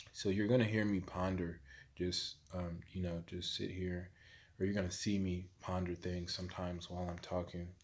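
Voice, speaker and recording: A man's very deep, low voice, fairly slow and monotone with flat intonation. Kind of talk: casual vlog monologue. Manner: long pauses, pondering; hesitant, many fillers.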